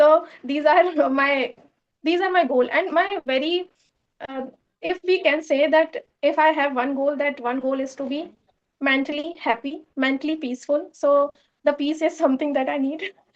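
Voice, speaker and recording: A woman's high-pitched voice moves at a moderate pace with fairly even intonation. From India, Madhya Pradesh. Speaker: English learner, channel owner. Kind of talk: English speaking practice conversation. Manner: halting, many fillers.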